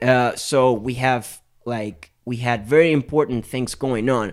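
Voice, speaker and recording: Very slowly and with fairly even intonation, a man speaks at a medium pitch. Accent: Spanish. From Venezuela, Maracaibo (Zulia state). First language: Spanish. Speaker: musician, bass player. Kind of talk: casual chat. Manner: halting, with hesitations and repeats.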